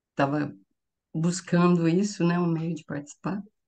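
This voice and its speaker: A woman speaks at a moderate pace. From interior of São Paulo state, Brazil. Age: 50s. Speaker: course student testimonial. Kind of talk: testimony. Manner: hesitant with repetitions. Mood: cheerful, smiling. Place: home room. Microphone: webcam.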